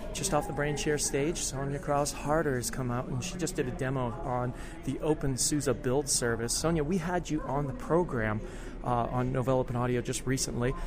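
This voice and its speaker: A man's medium-pitched voice at a fairly quick pace and fairly even intonation, over noticeable background noise. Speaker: podcast host. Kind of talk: casual interview chat. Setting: backstage at conference.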